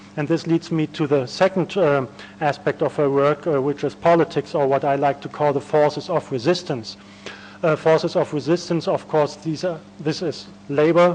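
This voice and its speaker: A man with a German accent and a fairly high pitch speaks at a moderate pace with fairly even intonation. Noticeable background noise can be heard. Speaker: academic conference speaker. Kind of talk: academic lecture. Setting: conference panel. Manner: hesitant, many fillers.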